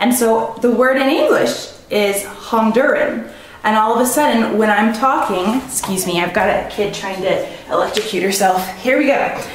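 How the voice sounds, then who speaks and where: A woman's fairly high voice with an American accent, ordinary pitch variation and a moderate pace, plus audible room echo and noticeable background noise. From US Midwest, Missouri. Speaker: vlogger, linguist. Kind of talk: casual monologue vlog. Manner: hesitant, many fillers.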